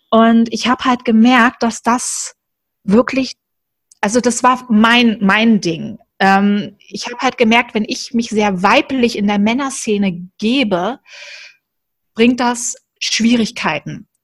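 Speaking at a very slow pace with long, frequent pauses, a woman keeps a fairly even intonation in a dry, close sound with no echo. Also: fairly high pitch for a woman. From Germany, Berlin. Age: 30s. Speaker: coaching team member. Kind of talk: casual interview chat.

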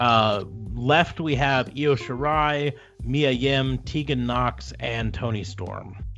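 A man talks at a very slow pace, his pitch medium with ordinary variation. Music plays in the background. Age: 40s. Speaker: wrestling podcast host. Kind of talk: casual chat.

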